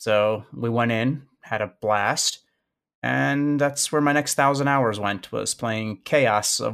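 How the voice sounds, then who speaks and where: On a very clean recording with a silent background, a man with an American accent speaks at a very slow pace with ordinary pitch variation. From US Midwest, Chicago. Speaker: gaming community organizer. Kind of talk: casual interview.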